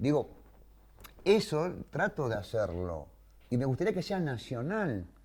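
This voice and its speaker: A man with a fairly high voice and vocal fry swings his pitch very widely, leaving long, frequent pauses, on a very clean recording with a silent background. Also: fairly slow pace. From Greater Buenos Aires, Argentina. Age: 60s. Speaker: war veteran. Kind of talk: interview testimony.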